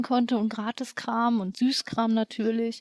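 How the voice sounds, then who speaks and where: Monotone, flat intonation in a dry, close sound with no echo. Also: woman. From Hanover region, northern Germany. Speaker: cosplayer. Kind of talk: casual chat.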